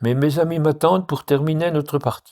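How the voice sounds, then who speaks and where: On a very clean recording with a silent background, this man's tone is dark and mellow. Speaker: writer. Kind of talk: reading of regional dialect stories.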